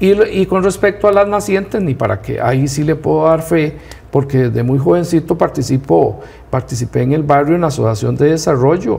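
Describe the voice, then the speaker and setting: This man's voice sits fairly high in pitch. Noticeable background noise runs underneath. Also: lively intonation, moderate pace. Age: 60s. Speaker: rural community leader. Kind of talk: TV interview.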